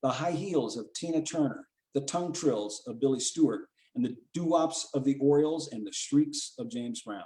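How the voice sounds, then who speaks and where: A man talks at a moderate pace. His tone is dark and mellow, with ordinary pitch variation. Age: 70s. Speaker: author. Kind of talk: casual talk; reading aloud. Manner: halting.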